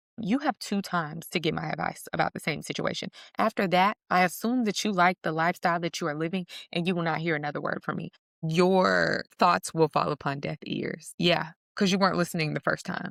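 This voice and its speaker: In a very clean recording with a silent background, a woman speaks fairly quickly at a fairly low pitch with ordinary pitch variation and vocal fry. Her tone is animated, and the sound is dry and close with no echo. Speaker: self-help vlogger. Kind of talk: casual vlog monologue.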